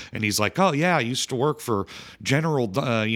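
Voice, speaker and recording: Lively intonation marks this man's a plain, everyday voice at a medium pitch. He speaks with an American accent. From Chicago. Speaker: film podcast co-host. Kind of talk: casual chat.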